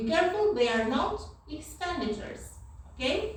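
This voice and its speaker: Woman with a non-native accent, with audible room echo. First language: not English. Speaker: university lecturer. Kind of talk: lecture.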